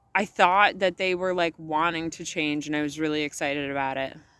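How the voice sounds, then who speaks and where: In a very clean recording with a silent background, a woman speaks loudly in a bright, sharp tone, her pitch fairly low with ordinary variation. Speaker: vlogger. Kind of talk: casual vlog monologue. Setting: outdoors at sunset. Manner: animated.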